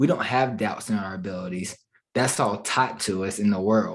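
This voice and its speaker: His accent is American. The man's pitch moves in an ordinary way. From Charlotte, North Carolina. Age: 20s. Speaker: digital marketing entrepreneur. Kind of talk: podcast interview answer.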